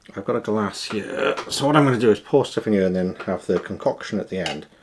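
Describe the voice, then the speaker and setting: Very fast pace over noticeable background noise. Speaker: product reviewer. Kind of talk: casual talk to camera.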